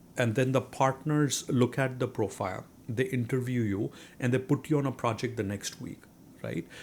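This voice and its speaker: Against a silent background in a very clean recording, a man talks with a strong Indian accent. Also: medium pitch for a man, ordinary pitch variation, moderate pace. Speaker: real estate investor. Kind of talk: interview. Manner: hesitant, many fillers.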